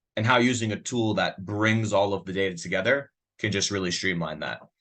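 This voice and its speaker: A man with a New York accent, very deep and low in pitch, bright and sharp in tone, with ordinary pitch variation against a quiet background. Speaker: software sales demo presenter. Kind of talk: product demo webinar. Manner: fast; casual, filler-heavy.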